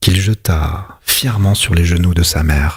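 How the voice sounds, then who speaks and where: A man talks fairly slowly in a somewhat breathy voice. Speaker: ASMR reader. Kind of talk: whispered literary reading. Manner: whispered, soft-spoken.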